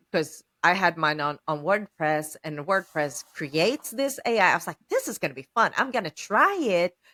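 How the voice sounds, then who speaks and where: A fairly slow delivery with lively intonation and a bright, sharp tone, in a dry, close sound with no echo. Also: woman. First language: not English. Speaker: podcast host, small business owner. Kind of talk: casual podcast conversation.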